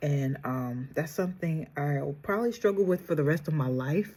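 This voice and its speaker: A woman's very deep, low, soft-spoken voice, somewhat breathy and dark, mellow in tone, with lively intonation. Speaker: beauty vlogger. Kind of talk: makeup tutorial.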